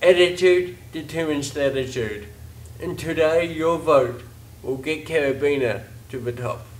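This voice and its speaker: At a fairly slow pace, a man with a New Zealand accent speaks at a fairly high pitch with ordinary pitch variation. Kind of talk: campaign pitch to camera. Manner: upbeat.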